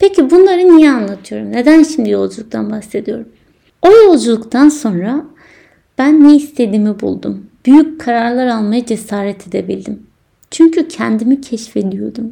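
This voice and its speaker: A woman speaks at a moderate pace in a fairly high pitch with a dark, mellow tone. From Turkey, inner Aegean. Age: 20s. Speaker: podcast host. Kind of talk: personal monologue.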